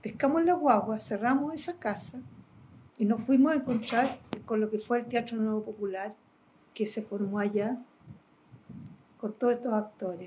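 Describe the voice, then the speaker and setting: Long, frequent pauses break up a woman's fairly high-pitched speech at a moderate pace, with ordinary pitch variation and noticeable background noise. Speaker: interviewee in documentary, exiled with the subject. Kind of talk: documentary interview, recollection.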